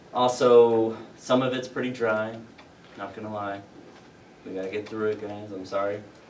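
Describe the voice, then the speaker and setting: A man with an American accent talks at a moderate pace and fairly low pitch in a monotone, flat delivery with long, frequent pauses and big swings in loudness, amid audible room echo and noticeable background noise. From Louisiana, US South. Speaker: university security staff giving briefing. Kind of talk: safety briefing to students. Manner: casual, filler-heavy; can speed up.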